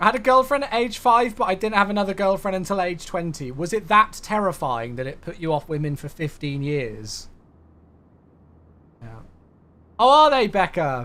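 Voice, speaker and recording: A man with a British accent speaks in a raised, projected, animated voice at a high pitch with very wide pitch swings and big swings in loudness. His pace is moderate, with long, frequent pauses. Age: 20s. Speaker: flight sim streamer. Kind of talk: casual live stream chat.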